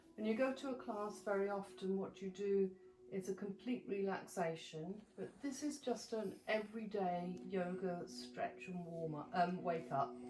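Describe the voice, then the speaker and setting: Noticeable background noise accompanies a woman speaking at a medium pitch. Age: 70s. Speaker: yoga instructor. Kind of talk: tutorial.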